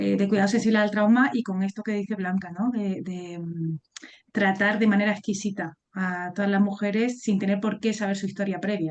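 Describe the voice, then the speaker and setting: Her medium-pitched voice is an unremarkable speaking voice, belonging to a woman. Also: fairly even intonation, moderate pace. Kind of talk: webinar moderation. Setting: video call webinar.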